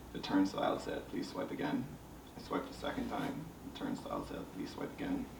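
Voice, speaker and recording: A man is speaking with noticeable background noise. Room echo is audible. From Bahamas. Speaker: visual artist. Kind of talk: panel discussion.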